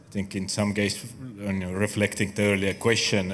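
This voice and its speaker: The speaker is a man with an Estonian accent. His pitch sits fairly low. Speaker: architecture researcher. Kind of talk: panel discussion.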